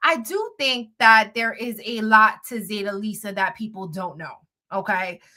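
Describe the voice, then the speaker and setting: A woman with a New York accent talks at a moderate pace in a fairly high pitch, with ordinary pitch variation. Her tone is bright, sharp and animated. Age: 30s. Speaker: blogger and live streamer. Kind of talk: casual live stream chat.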